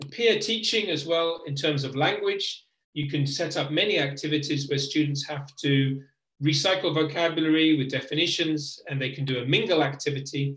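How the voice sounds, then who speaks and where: The pace is moderate and the pitch varies in an ordinary way. It is a normal speaking voice. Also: man, fairly high pitch for a man. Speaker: teacher trainer. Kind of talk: webinar presentation.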